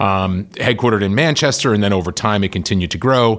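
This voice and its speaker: A man talks at a fairly quick pace in a plain, everyday voice, his fairly low pitch showing ordinary pitch variation. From Massachusetts (Worcester). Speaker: company CEO. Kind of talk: interview.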